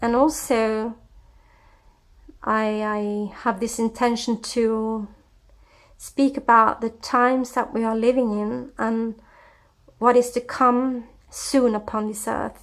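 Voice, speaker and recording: A woman speaks at a very slow pace with long, frequent pauses, her fairly high voice monotone and flat, on a very clean recording with a silent background. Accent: Scandinavian. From Scandinavia. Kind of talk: personal testimony. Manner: hesitant, with many fillers.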